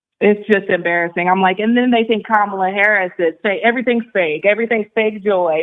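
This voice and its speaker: A woman with a plain, everyday voice speaks at a medium pitch and a fairly quick pace, with hardly any pauses and fairly even intonation. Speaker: radio show caller. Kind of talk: phone call to radio show.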